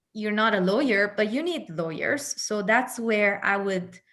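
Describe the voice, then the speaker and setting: In an Italian accent, a woman with a fairly high voice speaks at a fairly slow pace, with ordinary pitch variation, against a quiet background. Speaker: entrepreneurship expert. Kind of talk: panel discussion.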